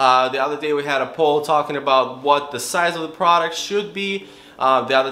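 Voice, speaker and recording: Over noticeable background noise and audible room echo, a man with a non-native accent and fairly high pitch talks at a moderate pace. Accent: foreign. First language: not English. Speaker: real estate wholesaler vlogger. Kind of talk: casual vlog.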